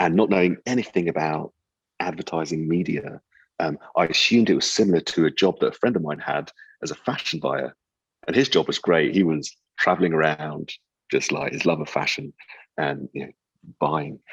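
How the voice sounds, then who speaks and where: A man with a British accent and very deep, low pitch, a fairly quick pace with long, frequent pauses, ordinary pitch variation, and a dry, close sound with no echo. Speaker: advertising strategy executive. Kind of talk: interview conversation. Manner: halting, many repeated words and fillers.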